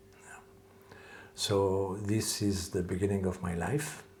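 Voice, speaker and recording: A man with a fairly low voice talks at a very slow pace. His intonation is fairly even, and the room echo is audible. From French-speaking Switzerland, Lausanne area. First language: French. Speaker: calligrapher and martial arts teacher. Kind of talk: interview. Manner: hesitant, many filler sounds.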